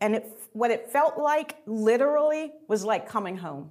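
A woman talks at a moderate pace in a fairly high pitch, her voice making very wide pitch swings. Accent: American. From Atlanta, US South. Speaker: theater director. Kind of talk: interview conversation.

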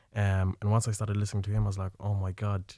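On a very clean recording with a silent background, a man with an Irish accent speaks in a fairly low pitch and a dark, mellow tone, his intonation monotone and flat. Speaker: filmmaker. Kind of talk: radio interview. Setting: studio.

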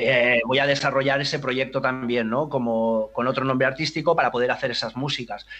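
The voice runs at a fairly quick pace with hardly any pauses and monotone, flat intonation. Noticeable background noise sits underneath. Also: man, medium pitch for a man. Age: 50s. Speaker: DJ. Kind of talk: interview.

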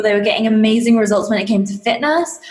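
A woman with an English accent, fairly high pitch, and fairly quick pace, amid noticeable background noise and audible room echo. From England. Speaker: fitness coach and business mentor. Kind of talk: interview.

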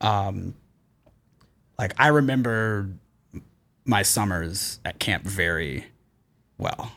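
Speaking very slowly with long, frequent pauses, a man with an American accent has a fairly low pitch, a bright, sharp tone, and ordinary pitch variation. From US South, Atlanta. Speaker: podcast host, fundraiser. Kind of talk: casual chat. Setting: office studio. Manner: halting.

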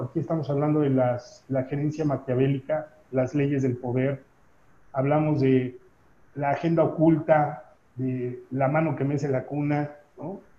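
A man talks fairly slowly in a dark, mellow tone that is somewhat breathy. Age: 40s. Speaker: business trainer and consultant. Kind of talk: interview conversation.

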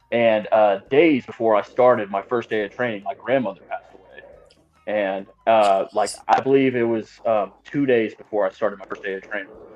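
In an American accent, a normal speaking voice keeps fairly even intonation and a moderate pace, with big swings in loudness. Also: man, medium pitch for a man. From Texas, Austin area. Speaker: professional wrestler. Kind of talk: casual chat.

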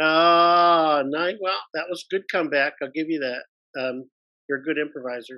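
In an American accent, a plain, everyday voice moves at a fairly slow pace with ordinary pitch variation. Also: man, fairly high pitch for a man. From US Midwest, Detroit, Michigan. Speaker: actor and improviser. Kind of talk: casual interview.

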